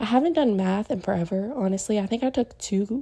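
The voice has a dark, mellow tone and is somewhat breathy, moving at a moderate pace. Its pitch varies in an ordinary way on a very clean recording with a silent background. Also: woman. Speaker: podcast host. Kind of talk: solo casual monologue.

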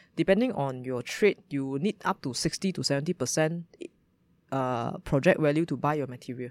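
A woman with a Malaysian accent, very deep and low in pitch, with ordinary pitch variation, at a moderate pace, in a very clean recording with a silent background and a dry, close sound with no echo. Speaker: startup founder, former lawyer. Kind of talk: interview.

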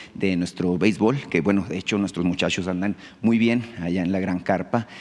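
This man has a plain, everyday voice, pitched fairly low. He talks at a fairly quick pace with fairly even intonation. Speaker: journalist. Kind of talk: press conference question.

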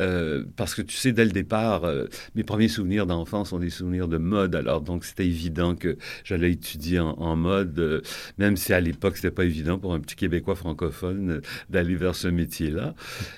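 In a very clean recording with a silent background, a man speaks at a moderate pace. His voice is very deep and low, with fairly even intonation. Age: 70s. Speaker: fashion designer. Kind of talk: interview. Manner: halting.

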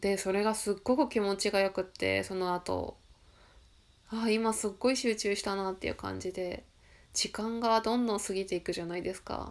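A woman talks at a moderate pace and medium pitch. Her intonation is fairly even, and the recording is very clean with a silent background. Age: 40s. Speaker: solo podcaster. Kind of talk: personal monologue. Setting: home recording late at night. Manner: reflective, hesitant.

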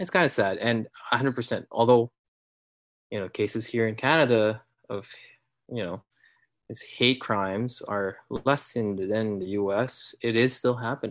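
The speaker has a Filipino accent and fairly even intonation. The pace is moderate, with a quiet background. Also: man. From Philippines. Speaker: new father. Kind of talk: casual interview chat.

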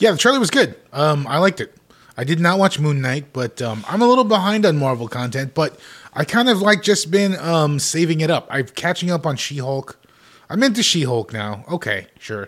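Swinging very widely in pitch, a man speaks at a moderate pace in a fairly high voice. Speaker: podcast co-host. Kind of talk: casual chat, podcast banter.

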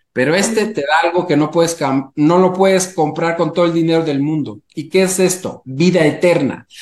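Fairly even intonation at a moderate pace. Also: man, high pitch for a man. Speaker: entrepreneur and airline pilot. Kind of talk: interview conversation.

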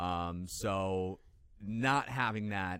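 On a very clean recording with a silent background, a man with a plain, everyday voice speaks in an American accent, with a fairly low pitch and ordinary pitch variation. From northern Illinois, Chicago suburbs. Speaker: TV sports reporter. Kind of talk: casual chat.

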